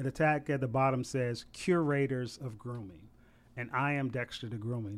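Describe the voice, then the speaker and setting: In a very clean recording with a silent background, a man with an American accent and an unremarkable speaking voice talks at a moderate pace, medium in pitch with ordinary pitch variation. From Savannah, Georgia (US South). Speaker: barber and florist. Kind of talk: casual interview. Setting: studio.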